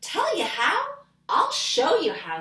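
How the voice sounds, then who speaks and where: At an extremely high pitch, a woman adopts a put-on, squeaky character voice. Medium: read story. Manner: knowing, calm.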